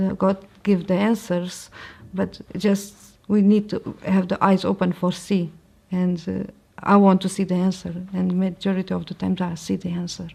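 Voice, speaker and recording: A woman speaks at a moderate pace with a Portuguese accent and a medium pitch. Her tone is dark, mellow and somewhat breathy, with monotone, flat intonation. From Portugal. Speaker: convert sharing her story. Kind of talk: testimony. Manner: halting.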